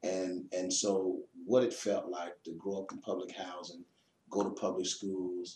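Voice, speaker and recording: Speaking at a fairly slow pace with an American accent, the man has a very deep, low pitch, a dark, mellow tone and monotone, flat intonation. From Chicago, US Midwest. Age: 50s. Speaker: pastor and author. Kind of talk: interview. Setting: pastor's office.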